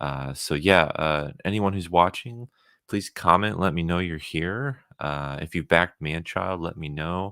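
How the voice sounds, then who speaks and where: A man's very deep, low pitch with a bright, sharp tone. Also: fairly slow pace. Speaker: comic book creator streamer. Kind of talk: live stream chat. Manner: monotone.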